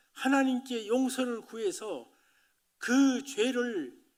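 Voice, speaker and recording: In a room with audible echo, a man with an extremely high voice talks very slowly, his pitch varying in an ordinary way. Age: 80s+. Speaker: pastor. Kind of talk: sermon.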